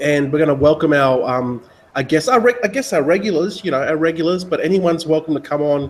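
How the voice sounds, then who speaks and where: There is noticeable background noise behind this speaker. A man talks at a fairly quick pace with an Australian accent. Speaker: webinar host. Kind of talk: casual chat. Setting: video call.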